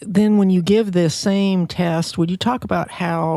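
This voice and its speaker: A woman talks at a fairly slow pace in a dark, mellow tone with ordinary pitch variation. The recording is very clean, with a silent background. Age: 60s. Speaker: podcast host, physician. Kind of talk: interview.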